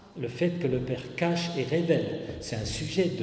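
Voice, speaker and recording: At a fairly slow pace, the speech comes through with audible room echo and noticeable background noise. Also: man. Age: 70s. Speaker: retired pastor. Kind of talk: sermon. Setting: church. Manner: halting, with hesitations and repeated words.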